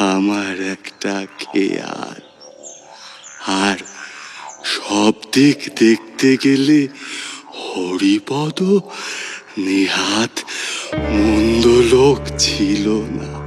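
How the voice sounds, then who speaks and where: Putting on a character voice, a man speaks at a very slow pace in a fairly low pitch with lively intonation. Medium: audio drama. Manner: slow, gentle, measured.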